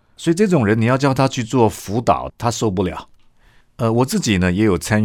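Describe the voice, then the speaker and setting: A man's voice with very wide swings in pitch. The recording is very clean, with a silent background. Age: younger than 60s. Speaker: pastor and seminary lecturer. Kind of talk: casual chat.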